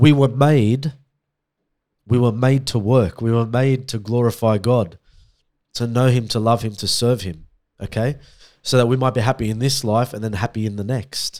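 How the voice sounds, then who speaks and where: A medium-pitched man with an Australian accent, moderate pace, long, frequent pauses, and fairly even intonation on a very clean recording with a silent background. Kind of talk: casual chat.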